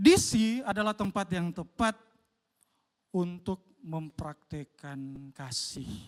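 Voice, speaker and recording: A man with a high pitch and lively intonation speaks at a very slow pace with long, frequent pauses, in a dry, close sound with no echo. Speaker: pastor. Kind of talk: sermon. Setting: church.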